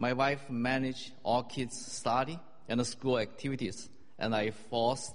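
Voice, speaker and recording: A man with a Chinese accent speaks very slowly at a medium pitch. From China. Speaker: church member. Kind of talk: testimony.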